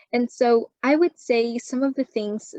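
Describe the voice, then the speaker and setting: A woman speaks with a Chinese accent and fairly even intonation. The sound is dry and close, with no echo. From China, moved to Canada at 12. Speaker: university student. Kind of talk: interview. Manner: frequent fillers and self-repairs.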